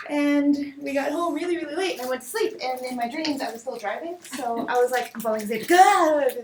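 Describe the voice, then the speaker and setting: Against noticeable background noise, a woman speaks at a high pitch and a fairly quick pace, with hardly any pauses. Her tone is animated and her intonation lively. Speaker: design meetup organizer. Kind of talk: casual presentation to a group. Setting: meeting room with live audience. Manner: fast.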